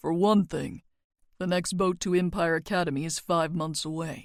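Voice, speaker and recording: In a put-on character voice, a woman speaks with a fairly low pitch and flat, monotone intonation. The recording is very clean, with a silent background. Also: moderate pace. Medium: read story. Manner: dry, detached, condescending.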